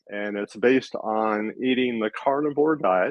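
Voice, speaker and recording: The speaker here is a man. He talks at a medium pitch. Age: 60s. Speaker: retired retail manager, online entrepreneur. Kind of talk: interview answers. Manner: halting, many filler words.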